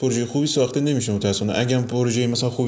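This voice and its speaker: A man speaks with fairly even intonation. The room echo is audible and the background noise noticeable. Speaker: architect and podcast co-host. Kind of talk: casual chat.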